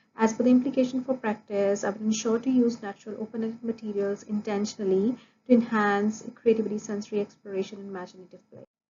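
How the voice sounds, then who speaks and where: A somewhat breathy woman talks at a very fast pace in a Punjabi accent. She leaves hardly any pauses. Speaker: early childhood education student. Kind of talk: recorded class presentation. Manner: formal, with hesitations.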